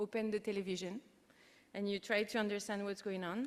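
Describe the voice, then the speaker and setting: A woman's medium-pitched voice with a French accent. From France. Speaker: keynote speaker, international organisation unit head. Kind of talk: conference keynote speech.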